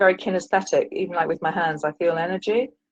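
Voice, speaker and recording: A woman with a British accent, medium pitch and a very fast pace. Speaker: caller, retired teacher and author. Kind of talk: call-in advice conversation. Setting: call-in to live stream show. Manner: halting, many fillers.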